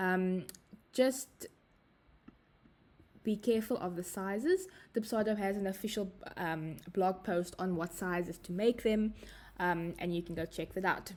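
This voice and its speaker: Speaking with a South African accent, a woman talks at a fairly slow pace and medium pitch, with ordinary pitch variation and long, frequent pauses. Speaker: software trainer. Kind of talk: tutorial. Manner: hesitant, frequent fillers.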